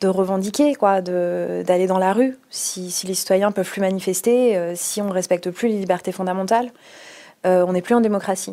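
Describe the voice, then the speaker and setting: At a moderate pace, a woman talks in an unremarkable speaking voice at a medium pitch. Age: 30s. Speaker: lawyer and anti-corruption association president. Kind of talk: interview.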